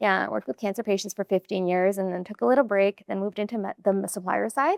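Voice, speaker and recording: Talking at a very fast pace, a woman with a medium pitch and ordinary pitch variation is heard in a dry, close sound with no echo. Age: 40s. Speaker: gym member sharing weight-loss story. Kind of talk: podcast interview.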